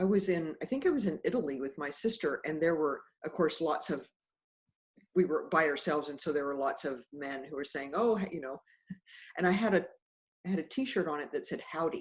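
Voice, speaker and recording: A woman with an American accent talks at a fairly quick pace, her fairly low voice full of lively intonation. Long, frequent pauses break up her speech. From Kansas, Wichita. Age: 60s. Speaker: author and mindfulness teacher. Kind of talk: casual chat. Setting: video call.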